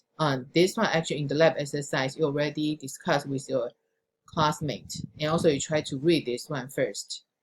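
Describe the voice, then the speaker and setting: Somewhat breathy and very deep, low in pitch, a woman speaks at a moderate pace with fairly even intonation. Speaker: programming instructor. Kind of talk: recorded lecture.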